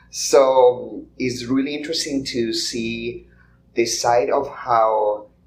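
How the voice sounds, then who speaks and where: A man speaks with a Colombian accent. Room echo is audible. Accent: non-American accent, Colombian. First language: Spanish. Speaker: podcast guest. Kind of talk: live podcast conversation. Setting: conference stage with audience. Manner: halting, many fillers.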